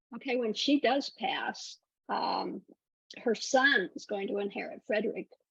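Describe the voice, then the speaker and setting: A woman's high-pitched voice with lively intonation, in an American accent. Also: fairly slow pace. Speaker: podcast host. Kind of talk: interview. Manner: halting.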